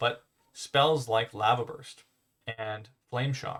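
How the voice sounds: The man's voice sits at a medium pitch and carries a fairly bright tone.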